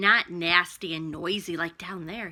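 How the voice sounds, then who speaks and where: Using a put-on character voice, a woman speaks at a fairly low pitch and a moderate pace. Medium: read story.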